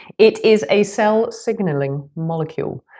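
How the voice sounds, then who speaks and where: With a British accent, a woman speaks in a lively, varied intonation. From Britain. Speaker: nutritionist and health coach. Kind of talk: podcast explainer; casual chat.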